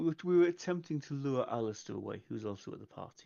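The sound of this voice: A man talks fast with lively intonation. His tone is dark and mellow, with vocal fry. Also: medium pitch for a man.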